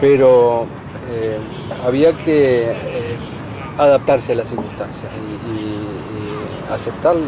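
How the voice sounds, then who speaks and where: Noticeable background noise behind a male speaker with ordinary pitch variation. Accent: Rioplatense. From Uruguay. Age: 50s. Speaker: writer and university lecturer. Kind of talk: interview. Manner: hesitant, many fillers.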